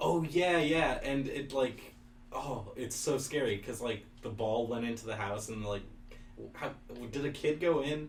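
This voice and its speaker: A man speaks at a fairly slow pace, medium in pitch with ordinary pitch variation. Noticeable background noise and audible room echo surround him. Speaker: college radio host. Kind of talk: casual chat.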